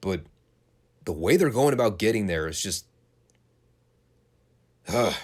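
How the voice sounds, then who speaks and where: Pausing long and often, a man speaks at a moderate pace in a fairly low pitch with lively intonation. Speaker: wrestling podcast host. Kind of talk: podcast review commentary. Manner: opinionated, ranting.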